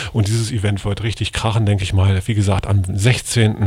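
This man has a fairly low pitch and a somewhat breathy voice. He speaks in a monotone, flat intonation. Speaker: radio DJ and show host. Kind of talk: live radio hosting, casual chat between DJ mixes. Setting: radio studio.

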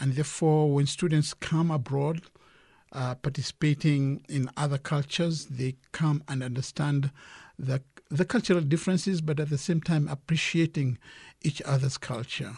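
A man speaks in a somewhat breathy voice. His intonation is fairly even, and the background is quiet. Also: moderate pace, dry, close sound with no echo. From Kenya. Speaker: director of a student exchange organization. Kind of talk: radio interview. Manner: halting, many fillers.

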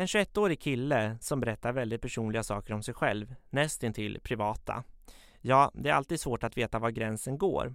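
A man talks at a moderate pace with a medium pitch and ordinary pitch variation, in an ordinary speaking voice. The recording is very clean, with a silent background. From Sweden, Katrineholm (Södermanland). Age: 20s. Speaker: journalism student telling his life story. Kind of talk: personal narrative, scripted. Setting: studio.

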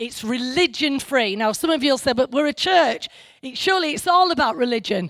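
On a very clean recording with a silent background, a woman speaks at a high pitch and a fairly quick pace, with very wide pitch swings. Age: 50s. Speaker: pastor. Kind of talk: sermon. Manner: halting, many fillers.

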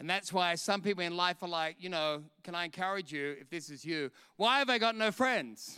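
A man with an Australian accent speaks at a high pitch, his tone bright and sharp. His intonation is lively, and the recording is very clean with a silent background. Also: moderate pace. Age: 50s. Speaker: preacher. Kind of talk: sermon. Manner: animated.

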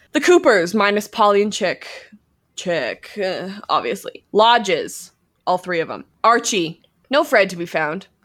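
This is a normal speaking voice: a woman with a Canadian accent and medium pitch, talking at a fairly slow pace. Her intonation is lively, her loudness swings widely, and the recording is very clean with a silent background. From Alberta, Canada. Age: 20s. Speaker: podcast host, actor and filmmaker. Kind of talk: casual chat.

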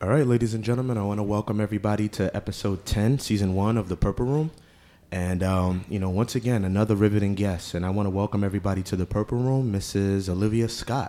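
Speaking very fast in a New York accent, a man has a fairly low pitch, a dark, mellow tone and fairly even intonation. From Queens, New York. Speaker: podcast host. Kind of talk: interview.

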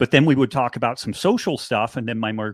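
This man talks fairly quickly with an American accent and an ordinary speaking voice. His pitch sits in the medium range, with ordinary variation. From rural Northern California. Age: 50s. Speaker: author and biochemist. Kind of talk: interview.

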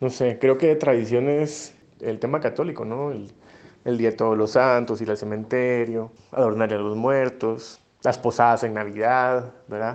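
A man talks at a moderate pace in a medium pitch with fairly even intonation. His loudness swings widely. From Guatemala, Flores, Petén. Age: 30s. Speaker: migrant interviewee, former bank employee. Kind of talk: personal testimony. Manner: hesitant, many fillers.

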